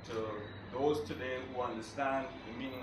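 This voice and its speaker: A man's moderate-speed delivery comes with noticeable noise in the background. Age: young. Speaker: poetry reader. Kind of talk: spoken dedication to an audience.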